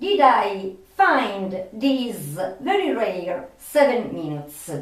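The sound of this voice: A woman speaks at a medium pitch. Strong room echo surrounds her voice.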